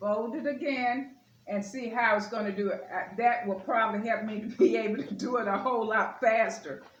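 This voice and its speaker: Amid noticeable background noise and audible room echo, a woman talks at a moderate pace with fairly high pitch and hardly any pauses. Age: 60s. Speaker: lifestyle vlogger. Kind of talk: casual home tutorial vlog. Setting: at home at the table. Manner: casual, chatty with filler words. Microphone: camera far from speaker.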